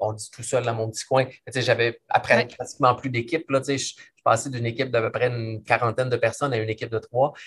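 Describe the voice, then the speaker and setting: A man with a Quebec accent talks very fast at a medium pitch, his intonation monotone and flat. His loudness swings widely. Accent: Québécois French. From Quebec City region, Canada. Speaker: business consultant and author. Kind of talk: interview.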